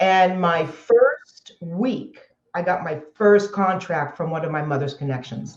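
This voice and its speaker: Somewhat breathy, the voice moves at a fairly slow pace with ordinary pitch variation in an American accent. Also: woman. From Southern California. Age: 60s. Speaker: entrepreneur. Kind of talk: interview.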